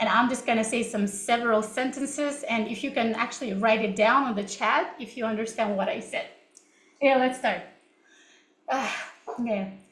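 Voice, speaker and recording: With a Russian accent and a fairly high pitch, a woman speaks with fairly even intonation and long, frequent pauses, in audible room echo. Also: moderate pace. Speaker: English teacher. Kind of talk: online class session.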